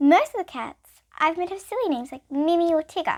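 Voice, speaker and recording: Putting on a squeaky character voice, a woman talks at a fairly quick pace in an extremely high pitch. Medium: read story. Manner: polite, bright.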